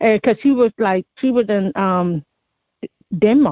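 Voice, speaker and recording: Lively intonation from a woman with an American accent. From Oakland and Berkeley, California. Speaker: author and spoken word poet. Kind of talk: interview answer. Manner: casual, hesitant.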